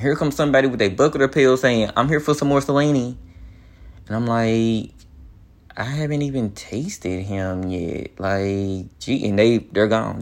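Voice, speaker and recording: Against a quiet background, a man speaks in a plain, everyday voice of medium pitch with ordinary pitch variation. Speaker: podcast host. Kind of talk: solo rant, confessional. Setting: home, recording alone. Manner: casual, rambling, chatty; emotional, near tears, voice wavering.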